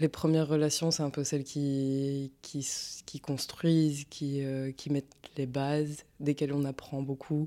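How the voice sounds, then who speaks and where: A woman's very deep, low-pitched voice, dark and mellow in tone, flat and monotone, at a very slow pace, in a very clean recording with a silent background. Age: 20s. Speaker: exhibition participant. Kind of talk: personal testimony. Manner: halting, many fillers.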